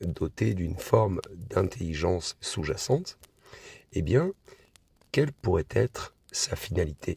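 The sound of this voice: Using a hoarse, put-on character voice, someone speaks at a fairly slow pace with very wide pitch swings. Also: man.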